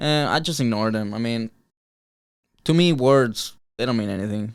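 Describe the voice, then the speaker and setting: On a very clean recording with a silent background, a man with a Mexican accent talks with ordinary pitch variation. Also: medium pitch for a man, moderate pace. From Mexico, Cuernavaca, Morelos. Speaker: martial arts fighter. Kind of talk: interview. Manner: halting.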